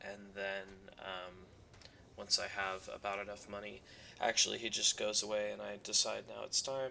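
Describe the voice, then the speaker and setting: Fairly low-pitched and fairly even in intonation, a man talks at a moderate pace. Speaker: video game commentator. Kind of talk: gameplay commentary. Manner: monotone; hesitant, many fillers.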